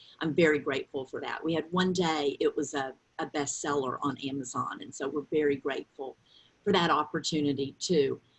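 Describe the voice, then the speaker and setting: With a strong Southern US accent, a woman speaks in a very deep, low pitch and fairly even intonation. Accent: thick Southern drawl. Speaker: author and grief counselor. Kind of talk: interview.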